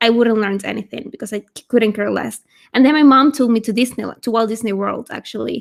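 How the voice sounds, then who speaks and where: A woman speaks with a Spanish accent at a moderate pace. Her pitch varies in an ordinary way. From Venezuela. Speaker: language YouTuber. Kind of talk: casual chat. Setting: livestream video call.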